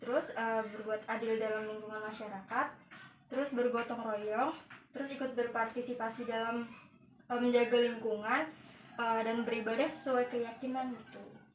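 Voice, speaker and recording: A woman's fairly high voice, flat and monotone at a moderate pace, with audible room echo. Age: 20s. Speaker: interviewee, factory worker. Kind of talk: interview. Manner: hesitant, many fillers.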